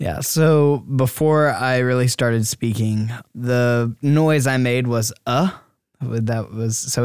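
A man's plain, everyday voice at a medium pitch with ordinary pitch variation. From US South, Georgia, later Iowa from age 13. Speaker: university student. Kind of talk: interview testimony. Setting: studio.

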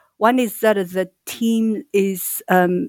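A woman with a Chinese accent and ordinary pitch variation, in a dry, close sound with no echo on a very clean recording with a silent background. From China. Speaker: startup co-founder. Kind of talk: casual interview chat.

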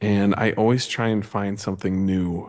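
In a western US accent, a man speaks at a moderate pace with a fairly low pitch. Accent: western American. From Montana. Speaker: podcaster. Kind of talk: casual chat. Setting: remote call from a cement garage office.

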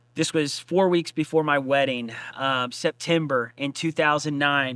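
A man's bright, sharp voice, fairly high in pitch, monotone and flat, at a moderate pace, in a very clean recording with a silent background and a dry, close sound with no echo. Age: 30s. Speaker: pastor and podcast host. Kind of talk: casual interview about his book and testimony. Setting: church stage.

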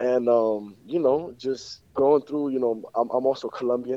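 Talking at a moderate pace with an American accent, a man has an unremarkable speaking voice, a medium pitch, and fairly even intonation. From Miami, Florida. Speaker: rapper. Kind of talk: interview. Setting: phone call.

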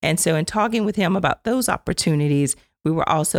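A woman speaks at a very fast pace. Her pitch is very deep and low. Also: dry, close sound with no echo. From Louisiana, Acadiana (Mamou). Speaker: government agency director. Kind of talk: interview. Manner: energetic.

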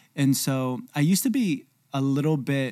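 On a very clean recording with a silent background, a man with an unremarkable speaking voice and ordinary pitch variation speaks at a fairly slow pace in a dry, close sound with no echo. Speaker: podcast co-host, church and company builder. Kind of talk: casual conversational podcast discussion. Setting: studio.

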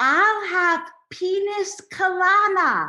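With audible echo around her, a woman performs a put-on character voice at an extremely high pitch. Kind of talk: deaf speech.

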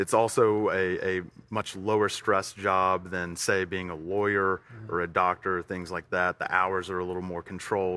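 A man with an Alabama accent speaks in a very deep, low pitch and a bright, sharp tone. His intonation is monotone and flat, and his pace is moderate. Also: quiet background. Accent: Southern US (Alabama). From US South, Tuscaloosa, Alabama. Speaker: CrossFit gym owner. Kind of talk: casual interview.

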